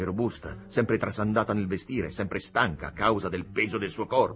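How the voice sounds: Reading in a natural voice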